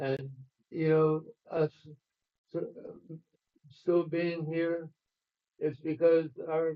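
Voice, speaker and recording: A man with a fairly high pitch talks very slowly in a flat monotone, taking long, frequent pauses. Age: 80s+. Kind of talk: symposium talk. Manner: halting.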